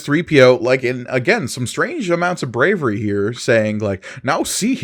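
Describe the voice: This recording is simply plain reading aloud.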